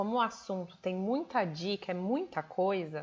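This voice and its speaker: A woman talks slowly, fairly so, and her pitch varies in an ordinary way. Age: 30s. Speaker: nutrition program coach. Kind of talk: live stream talk. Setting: livestream. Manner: animated.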